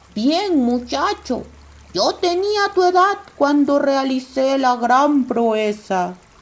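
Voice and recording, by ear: A high, female-sounding, put-on character voice at a very slow pace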